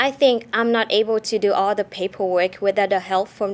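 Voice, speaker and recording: The speech moves at a moderate pace with fairly even intonation, captured in a very clean recording with a silent background. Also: woman. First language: not English. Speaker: international student. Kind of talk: testimony.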